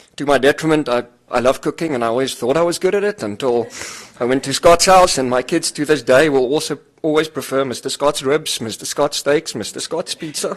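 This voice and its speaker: Fairly quick and fairly high-pitched, a man talks with a South African accent. His pitch varies in an ordinary way. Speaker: finance executive. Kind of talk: eulogy. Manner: halting, many fillers.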